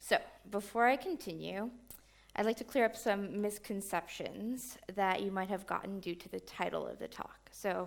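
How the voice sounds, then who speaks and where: A woman with an American accent speaks at a medium pitch, her intonation fairly even. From New York. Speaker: software engineer. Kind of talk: conference talk.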